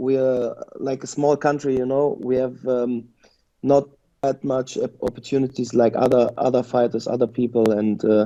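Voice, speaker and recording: A man speaks at a moderate pace with a German accent and a dark, mellow tone. His pitch sits in the medium range, and his intonation stays fairly even. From Germany, Lebanese family. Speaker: mixed martial arts fighter. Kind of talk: interview. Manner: halting, many repetitions.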